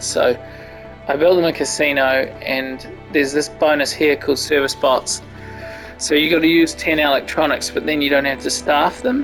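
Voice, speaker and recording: Music sits behind a man who talks at a moderate pace with a fairly high pitch and ordinary pitch variation. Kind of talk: casual gameplay commentary.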